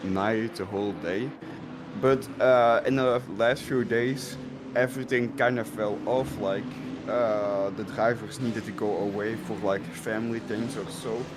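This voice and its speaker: Over noticeable background noise and audible room echo, a man of medium pitch talks at a fairly slow pace with ordinary pitch variation. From Belgium. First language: Dutch. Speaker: sim racing driver. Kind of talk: interview. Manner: halting, many fillers.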